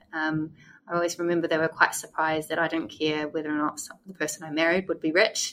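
This woman has a New Zealand accent and a very deep, low pitch. She talks at a very fast pace with monotone, flat intonation. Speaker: former English teacher in Korea. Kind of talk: casual interview chat. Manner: hesitant, filler-heavy.

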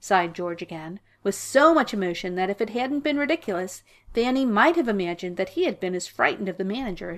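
Text is read aloud in a natural voice. Its intonation is lively.

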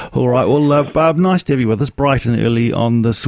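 A man with a New Zealand accent talks at a very fast pace with ordinary pitch variation over noticeable background noise. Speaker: radio host. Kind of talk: casual chat.

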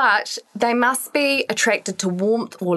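This woman talks with a New Zealand accent at a fairly slow pace. Her intonation is lively. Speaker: podcast co-host, fitness professional. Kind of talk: casual chat. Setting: studio.

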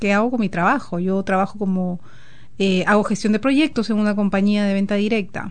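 A woman speaks at a moderate pace in an unremarkable speaking voice, her medium pitch carrying ordinary variation. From Peru. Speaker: guest. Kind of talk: casual chat. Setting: studio.

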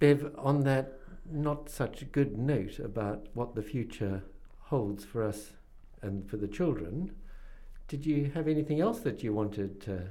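With a New Zealand accent, a dark, mellow voice moves at a fairly slow pace with lively intonation. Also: man, medium pitch for a man. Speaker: radio host. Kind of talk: interview.

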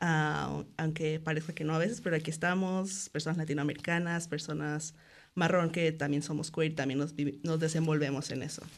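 Monotone, flat intonation is delivered at a moderate pace. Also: woman, very deep, low pitch for a woman. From Mexico, Cancún. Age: 20s. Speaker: festival committee member and illustrator. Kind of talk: radio interview. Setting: radio studio.

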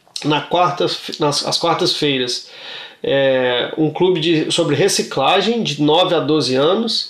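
A man at a very slow pace with ordinary pitch variation and audible room echo. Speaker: community radio co-host. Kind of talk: casual chat.

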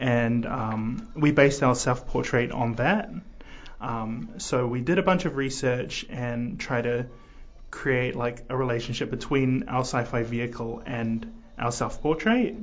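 Somewhat breathy, a man talks at a fairly slow pace with ordinary pitch variation. Room echo is audible. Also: medium pitch for a man. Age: young. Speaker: graphic design student. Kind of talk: radio interview. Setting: radio studio. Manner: hesitant, many fillers.

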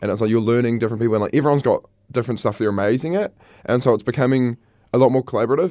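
Man's voice with ordinary pitch variation against a quiet background. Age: 20s. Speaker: student guest. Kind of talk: casual chat. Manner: relaxed, chatty.

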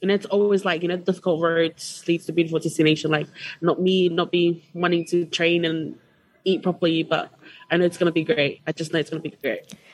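The delivery is monotone with flat intonation and moves at a fairly quick pace. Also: woman, fairly low pitch for a woman. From Tonga. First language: Tongan. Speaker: student association officer. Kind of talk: radio interview. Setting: radio studio.

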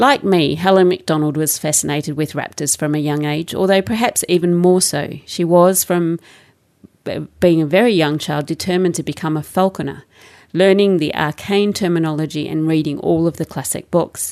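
A woman speaks in an Australian accent at a moderate pace, her pitch fairly low with ordinary variation. The background is quiet. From Australia, suburban Melbourne. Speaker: radio host and producer. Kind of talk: radio interview and scripted segments. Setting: radio studio.

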